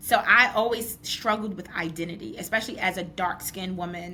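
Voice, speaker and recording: A woman with a New York accent, fairly quick and fairly even in intonation. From New York, Brooklyn. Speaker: podcast host. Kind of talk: podcast interview.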